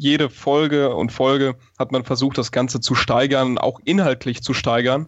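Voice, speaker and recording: A man with a plain, everyday voice talks at medium pitch. His pace is moderate and his intonation fairly even. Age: 20s. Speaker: stage magician and engineering student. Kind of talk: interview.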